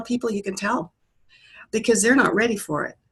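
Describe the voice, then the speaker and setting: A woman's voice, fairly high in pitch. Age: 60s. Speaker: online faith group member. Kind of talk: group discussion on a call.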